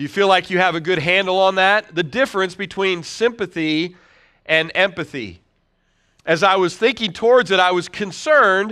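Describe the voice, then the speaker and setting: A man's raised, projected voice, bright and sharp in tone, with very even loudness, ordinary pitch variation, a moderate pace and a quiet background. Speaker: pastor. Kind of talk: sermon. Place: church.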